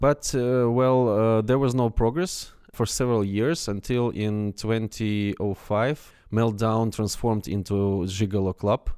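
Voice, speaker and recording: Speaking at a very slow pace, a man uses a dark, mellow tone at a medium pitch with ordinary pitch variation. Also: very even loudness. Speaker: sports federation president. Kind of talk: interview. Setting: sports hall. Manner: halting.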